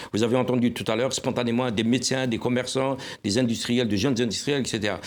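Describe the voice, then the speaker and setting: A plain, everyday voice from a man, medium in pitch, at a fairly quick pace with fairly even intonation. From Algeria. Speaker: newspaper publisher and journalist. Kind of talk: panel discussion. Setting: TV studio.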